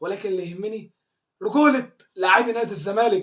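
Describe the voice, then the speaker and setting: High-pitched for a man, this speaker has an Egyptian accent and an animated tone. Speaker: football fan commentator. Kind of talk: fan video commentary. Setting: at home.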